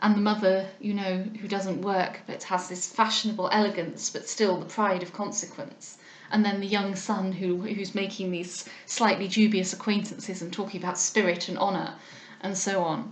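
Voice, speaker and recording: Against noticeable background noise and audible room echo, a woman with an English accent speaks at a moderate pace and medium pitch in a monotone, flat intonation. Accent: relatively RP English, short a in bath words. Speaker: audiobook reader. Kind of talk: casual commentary; reading aloud. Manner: hesitant, with frequent ums.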